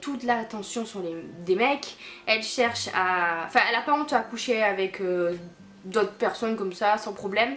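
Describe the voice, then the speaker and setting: A woman speaks at a fairly high pitch with ordinary pitch variation. Noticeable background noise is present. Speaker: book vlogger. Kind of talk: casual book review vlog. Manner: halting, stammering; animated.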